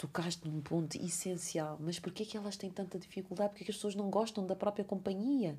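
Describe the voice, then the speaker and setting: A woman with a medium pitch and ordinary pitch variation speaks at a fairly quick pace in a somewhat breathy, animated tone. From Cape Verde. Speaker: podcast host. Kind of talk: casual chat.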